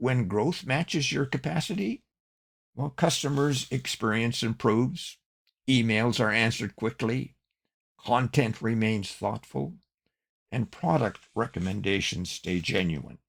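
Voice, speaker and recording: Vocal fry colors a man's medium-pitched voice. He speaks at a fairly slow pace with lively intonation. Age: 80s+. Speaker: online business coach and podcast host. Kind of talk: scripted podcast monologue.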